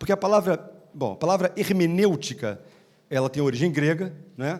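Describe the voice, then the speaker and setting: Lively intonation carries a man's high-pitched voice. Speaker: law professor / legal scholar panelist. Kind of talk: conference talk. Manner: fast.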